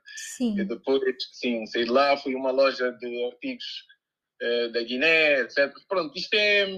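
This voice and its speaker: Delivered at a very slow pace, the speech carries lively intonation. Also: man, fairly high pitch for a man. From Guinea-Bissau, moved to Coimbra at 12. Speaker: DJ and music producer. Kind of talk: casual interview. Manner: halting, many repetitions.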